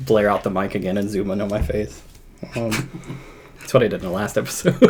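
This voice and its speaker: A man speaks very fast at a fairly low pitch, with ordinary pitch variation. Noticeable background noise is present. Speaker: music podcast host. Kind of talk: casual chat. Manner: subdued, quieter than usual.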